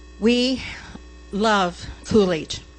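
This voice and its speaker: A woman talks with an American accent. Music plays in the background. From US Southwest, Phoenix area (Arizona). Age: 70s. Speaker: resident speaking at public comment. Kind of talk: public comment at council meeting. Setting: city council meeting chamber.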